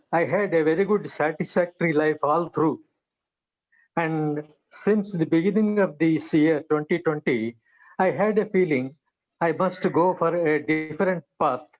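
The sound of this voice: Moving at a fairly slow pace, a man speaks at fairly high pitch with ordinary pitch variation.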